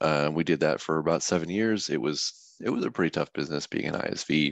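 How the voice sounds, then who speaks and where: A very deep, low male voice with vocal fry at a moderate pace, in a dry, close sound with no echo. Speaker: software developer at trading firm. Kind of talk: informal tech talk. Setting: online meeting. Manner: casual, many fillers.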